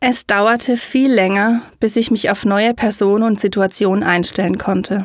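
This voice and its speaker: In an ordinary speaking voice, a woman with fairly high pitch talks at a fairly slow pace with fairly even intonation. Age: 30s. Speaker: podcaster and educator on high sensitivity. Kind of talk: personal storytelling monologue.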